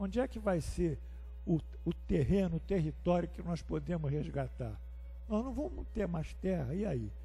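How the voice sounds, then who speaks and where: There is music in the background and audible room echo as a man talks at a moderate pace. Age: 70s. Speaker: spiritist course teacher. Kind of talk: lecture. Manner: conversational, rhetorical questions.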